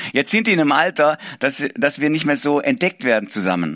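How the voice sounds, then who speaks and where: Using vocal fry and an animated tone, a man speaks at a moderate pace with lively intonation in a dry, close recording with no echo. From Swabia, southwest Germany. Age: 40s. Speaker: pastor. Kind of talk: sermon.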